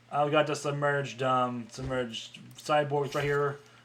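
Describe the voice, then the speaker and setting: Monotone, flat intonation from a man, with noticeable background noise behind him. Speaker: game developer. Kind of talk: dev-log gameplay showcase. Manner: fast; hesitant, many fillers.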